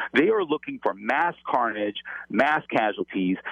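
A man with an American accent has a plain, everyday voice. He talks at a moderate pace with lively intonation. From Los Angeles. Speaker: former FBI agent. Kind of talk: interview. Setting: phone call.

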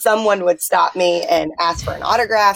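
There is noticeable background noise as a woman speaks at a medium pitch with fairly even intonation, the sound dry and close with no echo. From Bullitt County, Kentucky. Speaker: former college athlete and volleyball club director. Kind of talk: casual interview chat.

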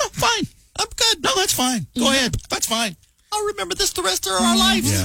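Putting on a character voice with an extremely high pitch, a man speaks fairly quickly at a very even loudness, in a dry, close sound with no echo. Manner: threatening, passive-aggressive.

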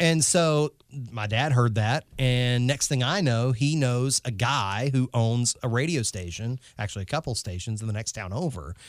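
A man with a Southern US accent talks at a moderate pace and medium pitch, with ordinary pitch variation. The recording is very clean with a silent background and a dry, close sound with no echo. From North Carolina. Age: 30s. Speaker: radio host. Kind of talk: casual chat.

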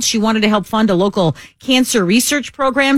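A woman speaks at a moderate pace with a fairly high pitch and very wide swings in pitch. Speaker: radio co-host. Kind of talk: casual banter on talk radio. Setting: studio.

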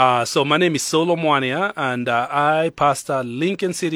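A man with a Kenyan accent speaks at a fairly slow pace in a bright, sharp tone with fairly high pitch, in a very clean recording with a silent background. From Kenya, Nairobi. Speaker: pastor. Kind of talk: casual chat. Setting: studio.

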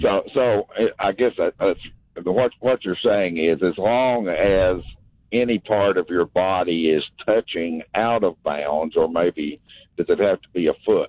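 Using a plain, everyday voice, a man with a fairly low pitch talks at a fairly slow pace with ordinary pitch variation. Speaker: radio caller. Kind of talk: call-in radio. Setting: phone call.

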